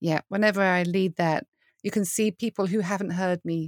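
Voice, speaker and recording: With a British accent, this voice moves at a moderate pace and ordinary pitch variation, recorded very cleanly against a silent background with a dry, close sound and no echo. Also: woman. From UK. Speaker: worship leader and podcaster. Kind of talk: casual interview conversation.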